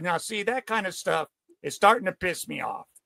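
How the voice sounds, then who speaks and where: A man projects a raised voice with a bright, sharp tone at a high pitch, captured dry and close with no echo. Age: 60s. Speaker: podcast host. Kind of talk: casual chat. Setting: video call. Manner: halting.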